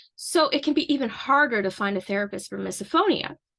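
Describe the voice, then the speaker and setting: Over a quiet background, a woman with a Canadian accent speaks in a bright, sharp tone with lively intonation. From Canada. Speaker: misophonia advocate and counseling student. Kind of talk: informal educational talk to camera.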